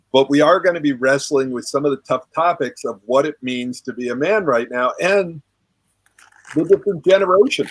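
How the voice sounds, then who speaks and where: In an ordinary speaking voice, a man talks at a moderate pace with a fairly high pitch and ordinary pitch variation, the sound dry and close with no echo. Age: 60s. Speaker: relationship coach and author. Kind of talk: group discussion on a live call. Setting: online group call.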